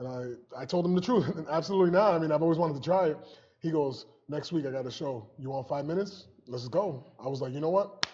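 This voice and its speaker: The man's voice is fairly high in pitch, with ordinary pitch variation. He speaks at a very fast pace. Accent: American. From Springfield, Massachusetts, US. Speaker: police officer and comedian. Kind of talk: interview, personal story.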